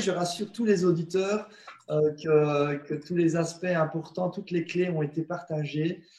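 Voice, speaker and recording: A man with a non-native accent speaks in a high pitch at a moderate pace. Noticeable background noise runs underneath. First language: not French (speaking French). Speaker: spiritual teacher and alternative healer. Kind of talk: interview on web broadcast. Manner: halting, many hesitations.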